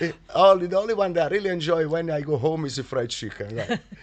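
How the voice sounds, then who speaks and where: Lively in intonation, a man speaks with an Italian accent. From Naples, Italy. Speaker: chef and restaurant owner. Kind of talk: interview answer.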